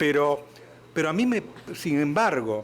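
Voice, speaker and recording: With an Argentine accent, a man speaks at a fairly slow pace. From Argentina. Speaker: moderator. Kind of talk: panel discussion.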